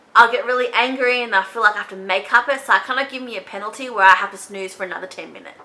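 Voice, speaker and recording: A woman speaks fairly high with an Australian accent and ordinary pitch variation. Noticeable background noise is present. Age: 20s. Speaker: beauty vlogger. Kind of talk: casual chat. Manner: casual, chatty.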